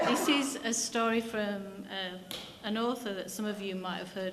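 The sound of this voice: The voice is an unforced reading voice with fairly even intonation.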